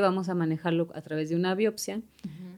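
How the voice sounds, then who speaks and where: A fairly even intonation in a central Mexican accent. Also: woman. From Mexico City. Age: 40s. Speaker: breast cancer survivor. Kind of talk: testimony.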